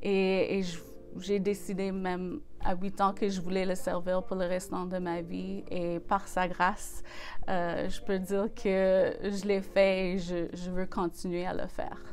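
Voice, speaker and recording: Audible room echo surrounds a woman of medium pitch who speaks very slowly in monotone, flat intonation with an English accent. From western Canada, Saskatchewan. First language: English (speaking French). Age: 40s. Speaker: gospel singer and church office manager. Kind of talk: interview. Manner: hesitant, many fillers.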